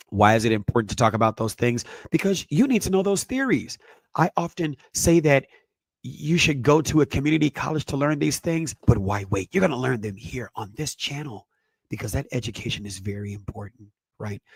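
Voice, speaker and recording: A man talks at a fairly quick pace with a somewhat breathy, medium-pitched voice and very wide pitch swings. The sound is dry and close with no echo. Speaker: parenting educator, podcast host. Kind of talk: lecture-style presentation.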